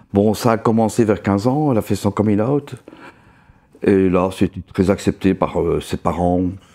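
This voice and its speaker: Speaking fairly slowly, a man with a fairly low pitch and a dark, mellow tone uses ordinary pitch variation. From Belgium. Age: 60s. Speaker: interviewee. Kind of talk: testimony. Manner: halting.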